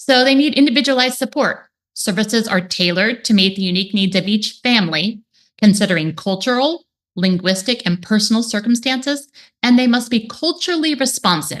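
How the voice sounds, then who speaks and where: Lively intonation runs through speech delivered at a fairly quick pace. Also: woman, fairly high pitch for a woman. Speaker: speech therapist. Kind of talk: webinar presentation. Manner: fast.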